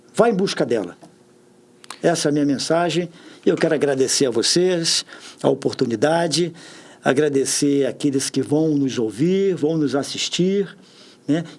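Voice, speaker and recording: Fairly slow with long, frequent pauses, a man speaks at a fairly high pitch with ordinary pitch variation and very even loudness. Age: 60s. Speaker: public official. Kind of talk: podcast interview.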